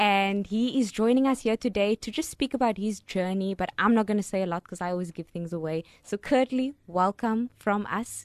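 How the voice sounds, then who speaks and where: A woman speaks at a fairly quick pace in a normal speaking voice, with medium pitch and ordinary pitch variation. The sound is dry and close, with no echo. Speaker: radio co-host. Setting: studio.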